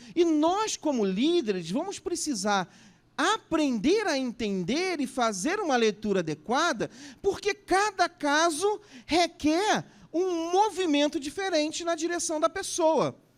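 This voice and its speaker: A man's extremely high voice at a very slow pace, with very wide pitch swings. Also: very clean recording, silent background. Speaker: pastor. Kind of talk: conference talk.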